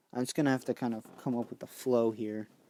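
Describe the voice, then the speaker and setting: At a moderate pace, a man talks in a dark, mellow tone, the sound dry and close with no echo. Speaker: gaming live streamer. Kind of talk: live gameplay commentary. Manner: stuttering, halting; casual, thinking aloud.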